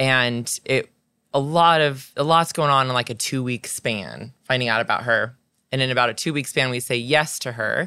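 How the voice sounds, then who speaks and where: A woman speaks in a very deep, low pitch with a bright, sharp tone. Her pitch varies in an ordinary way. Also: moderate pace, very clean recording, silent background. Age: 40s. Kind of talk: casual chat. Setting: outdoors on a camp back porch.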